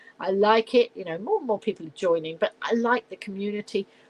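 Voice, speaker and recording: A woman talks at a fairly quick pace in a southern English accent. Her medium-pitched voice has a dry, close sound with no echo. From southern England, Middlesex/London area. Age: 70s. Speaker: live-stream host. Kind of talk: casual live-stream chat. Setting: at home. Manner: chatty, rambling with fillers.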